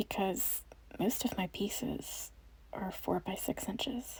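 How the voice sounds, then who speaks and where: Calm whispering from a woman at a very slow pace. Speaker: watercolor artist / painter. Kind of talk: ASMR soft-spoken voiceover. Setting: voiceover recorded over painting video. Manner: soft-spoken, calm, slow.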